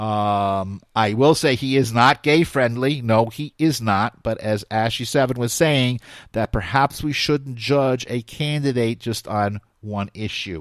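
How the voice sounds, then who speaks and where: A man talks at a fairly slow pace in a medium pitch with ordinary pitch variation. The sound is dry and close with no echo, on a very clean recording with a silent background. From New York, US. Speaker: talk radio host. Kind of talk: live talk radio show.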